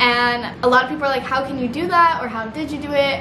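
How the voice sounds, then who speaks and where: Over noticeable background noise, a woman with an American accent speaks in a raised, projected voice at high pitch and a fairly quick pace. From Missouri. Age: 20s. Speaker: YouTuber. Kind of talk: casual vlog talk to camera. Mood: earnest, supportive. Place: home room.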